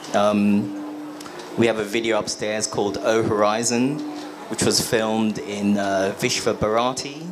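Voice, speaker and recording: A man talks at a fairly slow pace, his pitch fairly low and his intonation fairly even. His loudness stays very even, with music playing in the background. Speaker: artist and writer, discussion moderator. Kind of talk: panel discussion moderation.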